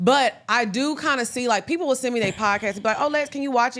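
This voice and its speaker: Loud and very fast, a woman speaks at a high pitch with lively intonation. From Texas (small country town, Orange). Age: 30s. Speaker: podcast co-host. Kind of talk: casual interview chat.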